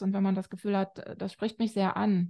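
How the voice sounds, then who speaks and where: A woman speaks at medium pitch and a moderate pace, her tone dark and mellow. The background is quiet. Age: 40s. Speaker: family counselor and author. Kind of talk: interview. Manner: hesitant, many filler sounds.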